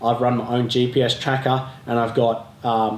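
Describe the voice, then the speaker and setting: With an Australian accent, a man speaks at a medium pitch in a monotone, flat way, with audible room echo around him. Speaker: off-road adventure vlogger. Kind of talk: tutorial. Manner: casual, conversational with fillers.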